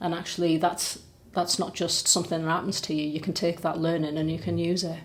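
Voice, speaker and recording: A woman talks with a Teesside accent at a fairly quick pace. Her voice is fairly low in pitch, with monotone, flat intonation. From Middlesbrough, North East England. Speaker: charity chief executive. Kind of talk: podcast interview answer.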